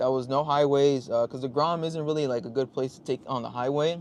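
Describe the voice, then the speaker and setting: Here is a man with a normal speaking voice, pitched fairly high. He talks at a fairly quick pace with fairly even intonation. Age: 30s. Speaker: motorcycle vlogger and livestreamer. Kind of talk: casual livestream chat.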